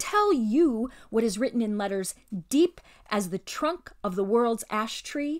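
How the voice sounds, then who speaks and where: A shrill, put-on character voice at a moderate pace, in a very clean recording with a silent background. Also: woman. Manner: indignant, scornful.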